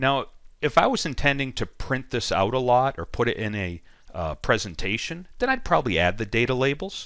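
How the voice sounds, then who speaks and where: A man's medium-pitched voice with vocal fry and lively intonation at a fairly quick pace, in a very clean recording with a silent background. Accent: Boston. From Boston, USA. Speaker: data analytics trainer. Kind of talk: software tutorial screencast. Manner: casual, with frequent ums and ahs.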